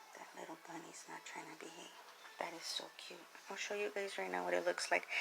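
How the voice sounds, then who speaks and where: Whispering at a fairly quick pace, a woman swings widely in loudness. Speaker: home cooking vlogger. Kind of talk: cooking tutorial. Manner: soft-spoken; hesitant.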